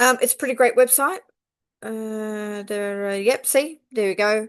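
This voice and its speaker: Over a quiet background, a woman with an Australian accent speaks at a fairly high pitch with ordinary pitch variation. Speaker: quilting teacher. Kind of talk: tutorial. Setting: at home on couch with laptop. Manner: unscripted, rambling with fillers.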